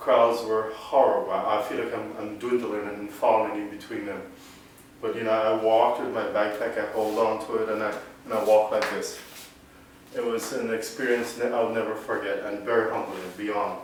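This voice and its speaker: There is audible room echo and noticeable background noise as this man talks at a moderate pace. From Caribbean. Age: 40s. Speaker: vlogger with Parkinson's. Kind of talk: personal testimony.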